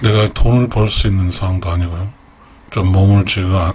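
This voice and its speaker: This man's voice has a very deep, low pitch. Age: 60s. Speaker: YouTube creator, retiree. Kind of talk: late-night radio-style personal talk. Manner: halting, many fillers.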